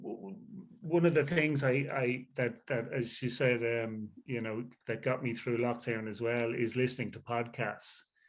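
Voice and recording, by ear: A nasal male voice at a moderate pace, with few pauses, fairly even intonation and audible room echo. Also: medium pitch for a man.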